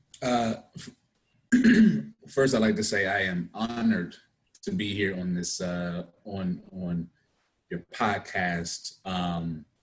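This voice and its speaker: A man's very deep, low voice in a DC area accent, very slow with long, frequent pauses and ordinary pitch variation. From Washington DC area (Prince George's County, Maryland). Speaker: actor. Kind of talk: interview.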